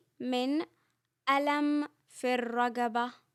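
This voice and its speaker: A high-pitched woman is heard in a dry, close sound with no echo. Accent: Saudi. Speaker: Arabic language teacher. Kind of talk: comprehensible-input language lesson. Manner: slow, clear, repetitive.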